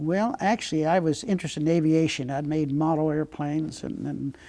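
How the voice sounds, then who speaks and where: This man has an American accent and a dark, mellow tone, speaking at a moderate pace with a fairly high pitch and fairly even intonation. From Pennsylvania, US. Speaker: war veteran, Navy pilot. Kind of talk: interview.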